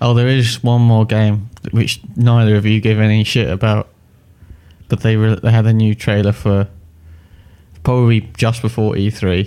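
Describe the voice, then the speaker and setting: A man with an English accent speaks at a moderate pace in a fairly low pitch, his tone dark and mellow. His intonation is monotone and flat, his loudness very even, and he leaves long, frequent pauses. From England. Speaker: podcast co-host about games and films. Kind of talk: casual chat.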